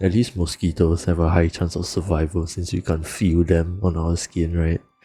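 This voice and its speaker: Over music in the background, a man with a very deep, low pitch talks at a moderate pace. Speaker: vtuber streamer. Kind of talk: casual chat. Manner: soft-spoken.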